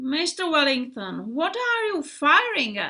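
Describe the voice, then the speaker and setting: This is a put-on character voice at a fairly slow pace. Its pitch swings very widely. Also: woman. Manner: resentful.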